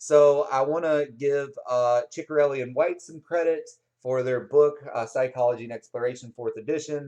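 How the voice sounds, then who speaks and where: A man with an unremarkable speaking voice holds a medium pitch and fairly even intonation at a moderate pace. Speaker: psychology instructor. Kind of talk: lecture. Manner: casual, with many fillers.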